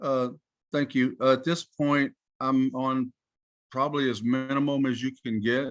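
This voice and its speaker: Spoken at a moderate pace, the voice has an American accent and monotone, flat intonation. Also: man. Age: 60s. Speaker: license applicant before a licensing board. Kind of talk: testimony at a board hearing. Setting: video call. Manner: halting.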